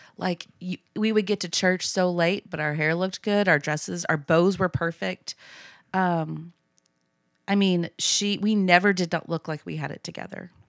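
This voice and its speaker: With a Texan accent, a woman with a fairly low voice speaks at a moderate pace and fairly even intonation, in a dry, close sound with no echo on a very clean recording with a silent background. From Texas (Abilene). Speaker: church member guest. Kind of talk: personal testimony. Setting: studio.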